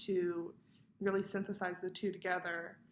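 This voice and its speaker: A woman's medium-pitched voice moves at a moderate pace. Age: 20s. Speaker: college student. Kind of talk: personal video reflection for class. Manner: casual, with frequent fillers.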